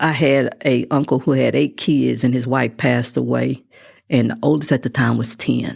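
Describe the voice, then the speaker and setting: Over a very clean recording with a silent background, a woman with a Texan accent speaks at a fairly slow pace in a very deep, low pitch, with vocal fry and fairly even intonation. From West Texas (Midland). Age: 60s. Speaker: constable. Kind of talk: interview.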